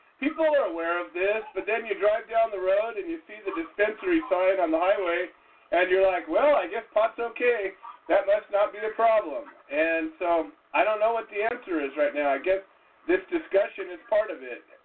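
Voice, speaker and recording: Noticeable background noise sits under a man's high-pitched voice. He moves at a moderate pace with very wide pitch swings. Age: 50s. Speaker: talk show host. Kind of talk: casual talk show.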